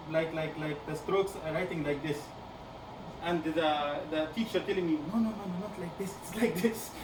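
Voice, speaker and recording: There's audible room echo and noticeable background noise. A man speaks at a fairly quick pace with fairly even intonation. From Egypt. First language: Arabic. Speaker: PhD student guest lecturer. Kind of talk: lecture. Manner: halting, many repetitions.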